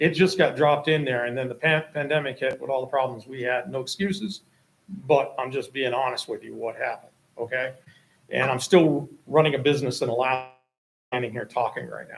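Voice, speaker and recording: A man speaks in a normal speaking voice at a medium pitch and a fairly quick pace, with ordinary pitch variation and big swings in loudness. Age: 60s. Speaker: property owner applicant. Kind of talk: public meeting testimony. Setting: town planning board meeting.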